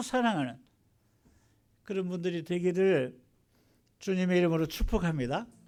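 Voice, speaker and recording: The speaker is a man with ordinary pitch variation. His pace is moderate. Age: 70s. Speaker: pastor. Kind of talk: sermon. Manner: hesitant, many fillers.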